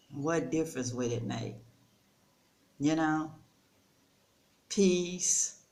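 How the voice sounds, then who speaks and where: Over audible room echo, a woman speaks at a very deep, low pitch and a very slow pace, with ordinary pitch variation and long, frequent pauses. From United States. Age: 60s. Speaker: storyteller vlogger. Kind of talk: casual vlog monologue. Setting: rental house. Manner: conversational, relaxed.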